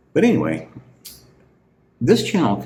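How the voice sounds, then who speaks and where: A man with a relaxed tone and vocal fry is heard with audible room echo. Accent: American. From US Midwest, southern Illinois near St. Louis. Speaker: beer reviewer, channel owner. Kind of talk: casual unscripted monologue. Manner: rambling, relaxed.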